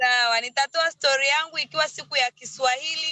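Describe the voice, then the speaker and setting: A woman's high, raised and projected voice, bright and sharp, fairly quick with fairly even intonation, in a dry, close sound with no echo. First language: Swahili. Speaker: network marketing distributor. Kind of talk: thank-you speech.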